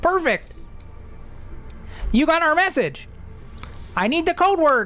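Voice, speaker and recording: Someone speaks in a put-on character voice at a fairly slow pace, with clear background noise. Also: woman, extremely high pitch for a woman. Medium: actual play. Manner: terse, mischievous.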